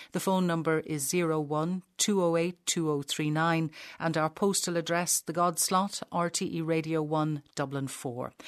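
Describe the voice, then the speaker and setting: In an Irish accent, a woman talks at a moderate pace with hardly any pauses, using a fairly low pitch and fairly even intonation, the sound dry and close with no echo against a quiet background. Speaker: radio host. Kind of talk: interview.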